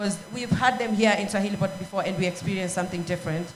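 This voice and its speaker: A woman's somewhat breathy, medium-pitched voice stays monotone and flat, with audible room echo. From Kenya. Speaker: panel moderator. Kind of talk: panel discussion. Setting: stage with audience. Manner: hesitant, many fillers.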